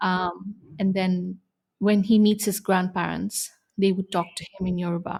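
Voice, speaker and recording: A woman's medium-pitched, somewhat breathy voice with a Tamil accent, monotone, flat intonation and a fairly slow pace. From India. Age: young. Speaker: expectant mother. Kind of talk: interview.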